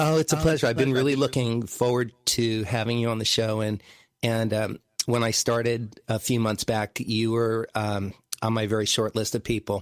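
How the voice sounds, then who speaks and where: Here is an unremarkable speaking voice. It moves at a moderate pace with fairly even intonation. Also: man, medium pitch for a man. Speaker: podcast host and musician. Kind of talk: podcast host intro and interview questions.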